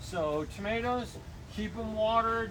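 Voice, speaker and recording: Loud and high-pitched, a man speaks amid noticeable background noise and audible room echo. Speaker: garden center expert. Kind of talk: tutorial. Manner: casual, hesitant with many fillers.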